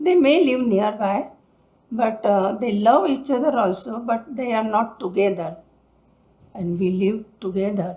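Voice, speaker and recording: At a fairly slow pace, the speaker uses an Indian accent, with a dark, mellow, somewhat breathy tone and ordinary pitch variation. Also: woman. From Mumbai, India. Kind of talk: interview answer.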